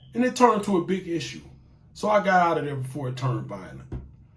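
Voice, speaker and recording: Audible room echo surrounds a man speaking at a moderate pace. His tone is animated, with very wide pitch swings. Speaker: YouTube talk show host. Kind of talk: casual monologue.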